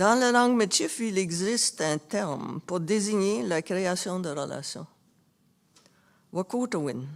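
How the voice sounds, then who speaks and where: A woman at a medium pitch, fairly slow, with very wide pitch swings. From Canada, Métis family. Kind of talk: formal speech.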